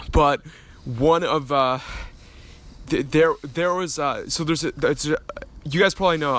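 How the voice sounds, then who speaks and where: In a shaky, put-on character voice, a man talks at a fairly high pitch and a moderate pace, with fairly even intonation and long, frequent pauses. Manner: stuttering, shaky.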